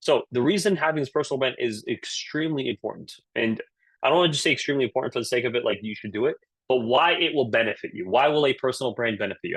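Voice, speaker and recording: Very fast and lively in intonation, a man speaks at a medium pitch. The sound is dry and close, without echo. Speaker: career coach. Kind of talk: webinar talk. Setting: virtual session. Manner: animated, casual.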